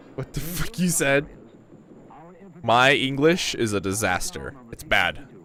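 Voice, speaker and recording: A man with a fairly high pitch talks at a fairly slow pace with very wide pitch swings, big swings in loudness, and long, frequent pauses, all over noticeable background noise. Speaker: VTuber streamer. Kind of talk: casual gaming livestream chat. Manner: animated.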